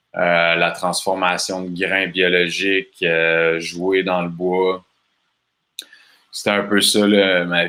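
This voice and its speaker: A man with a very deep, low voice and a bright, sharp tone, at a very slow pace and in monotone, flat intonation. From Quebec, Bas-Saint-Laurent. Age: 30s. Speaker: festival organizer. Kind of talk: casual interview. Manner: calm.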